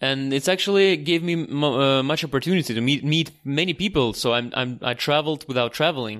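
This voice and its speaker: A man with a Russian accent, fairly high pitch and ordinary pitch variation, at a fairly quick pace with hardly any pauses, on a very clean recording with a silent background. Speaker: tour guide. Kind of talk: casual interview. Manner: halting with many fillers.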